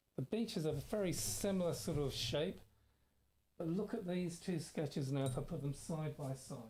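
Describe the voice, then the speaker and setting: A soft-spoken man talks at a moderate pace with lively intonation. His tone is dark and mellow. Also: fairly high pitch for a man. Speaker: art teacher. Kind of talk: tutorial. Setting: live stream.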